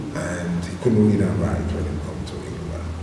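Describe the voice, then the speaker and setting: A man speaks with a very deep, low pitch and fairly even intonation. Noticeable background noise and audible room echo surround him. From England, southeast London, St Lucian parents. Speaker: reggae musician and music producer. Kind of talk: interview. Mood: relaxed storytelling, anecdotes. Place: studio.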